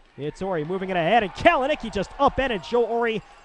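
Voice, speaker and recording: Over noticeable background noise, a man with an extremely high pitch talks at a fairly quick pace in an animated tone with lively intonation. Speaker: hockey play-by-play announcer. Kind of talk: live sports commentary, hockey play-by-play. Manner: fast-paced, animated play-by-play delivery; rapid, rising-and-falling calls on goals.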